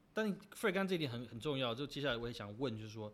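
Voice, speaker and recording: With an unremarkable speaking voice, a man talks at a medium pitch using lively intonation. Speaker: podcast host. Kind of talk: casual chat.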